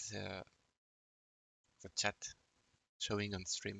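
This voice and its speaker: At a very slow pace, a man with a French accent speaks in a fairly low voice. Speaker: video game streamer. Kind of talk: live-stream commentary. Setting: live stream. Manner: halting, many fillers.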